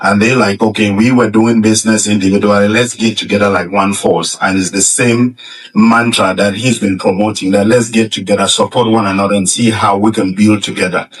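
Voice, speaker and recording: A fairly low-pitched man at a fairly quick pace, hardly any pauses, monotone, flat intonation and very even loudness, over noticeable background noise. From Cameroon. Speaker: financial professional. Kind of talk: public speech. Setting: stage with audience. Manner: confident.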